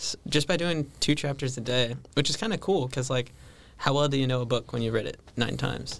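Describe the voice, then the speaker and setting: Speaking fairly quickly with vocal fry, a man with an American accent keeps a medium pitch and ordinary pitch variation. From California. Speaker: seminarian. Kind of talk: casual chat.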